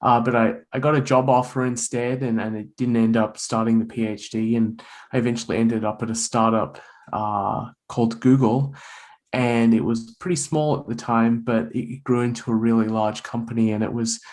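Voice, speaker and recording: An Australian accent from a man, monotone and flat, at a moderate pace. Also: medium pitch for a man. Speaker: author and bitcoin writer. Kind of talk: podcast interview. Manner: repeats words, halting starts.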